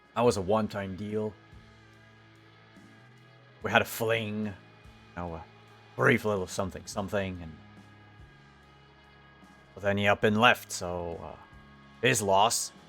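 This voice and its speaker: In a put-on character voice, a raspy man with a fairly low pitch talks at a moderate pace with long, frequent pauses as faint music plays in the background. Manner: dismissive, casual.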